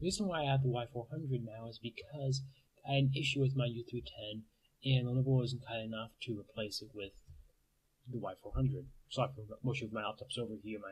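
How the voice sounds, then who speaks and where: A somewhat breathy voice at a fairly quick pace, with ordinary pitch variation and big swings in loudness. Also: man. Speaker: college student, computer science major. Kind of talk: casual talk to camera. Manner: fast.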